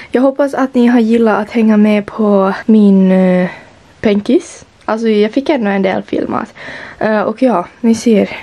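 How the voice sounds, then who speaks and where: A woman with a Finland-Swedish accent speaks at a fairly high pitch. Her pace is fairly slow, with ordinary pitch variation. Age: young. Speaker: vlogger. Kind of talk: vlog. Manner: animated. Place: home room.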